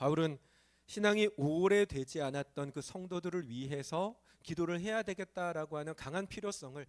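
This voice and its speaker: A man speaks at a moderate pace in a high voice with lively intonation, recorded dry and close with no echo, very clean against a silent background. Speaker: pastor. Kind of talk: sermon. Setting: church.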